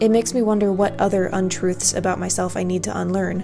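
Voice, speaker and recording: With music in the background, a woman with an American accent speaks in a calm tone at a moderate pace. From Mid-Atlantic USA. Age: 30s. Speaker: homesteader. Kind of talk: reflective personal essay narration. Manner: calm, contemplative.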